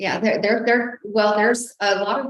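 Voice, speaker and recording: Fairly quick in pace, a woman talks with an American accent. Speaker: juvenile probation chief. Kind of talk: public meeting testimony. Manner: loud at times.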